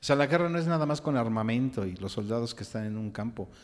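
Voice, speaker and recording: At a fairly quick pace, a man talks in a plain, everyday voice with ordinary pitch variation. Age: 60s. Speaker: podcast co-host, psychologist, songwriter. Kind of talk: casual discussion.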